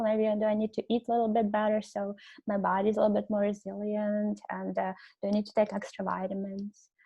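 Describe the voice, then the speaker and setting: Speaking with a non-native accent, a woman talks at a fairly high pitch. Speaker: webinar presenter on self-compassion. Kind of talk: webinar lecture. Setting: online webinar. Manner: hesitant, many fillers.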